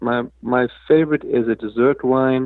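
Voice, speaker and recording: A man's medium-pitched voice with a slight South African accent and fairly even intonation. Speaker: crypto foundation executive. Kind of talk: interview. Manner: halting, many fillers.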